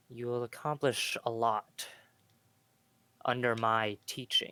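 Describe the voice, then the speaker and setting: A booming put-on character voice from a man, medium in pitch, with a dry, close sound and no echo. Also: fairly slow pace, fairly even intonation. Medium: actual play. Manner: commanding.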